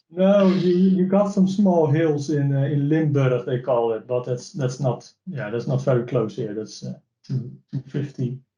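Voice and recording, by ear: A man speaks at a fairly slow pace in a dark, mellow tone, his medium pitch moving with ordinary variation while audible room echo surrounds him.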